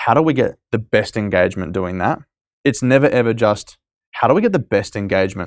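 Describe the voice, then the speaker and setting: A man with an Australian accent talks very fast at a medium pitch, his intonation lively. The recording is dry and close, without echo. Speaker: startup co-founder and CEO. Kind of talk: casual interview chat. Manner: fast talker.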